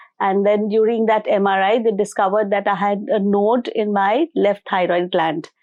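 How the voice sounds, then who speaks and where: With an Indian accent, a woman speaks at medium pitch and a moderate pace. The background is quiet. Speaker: spiritual healer and motivational speaker. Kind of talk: interview testimony.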